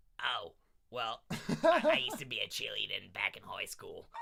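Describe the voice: A man speaks in a put-on character voice that is raspy, at a moderate pace.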